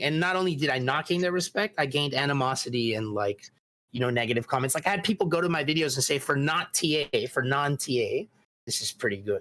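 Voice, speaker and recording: At a very fast pace, a man with a fairly high pitch speaks with lively intonation and very even loudness. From Mexico. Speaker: video game speedrunner. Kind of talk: casual chat.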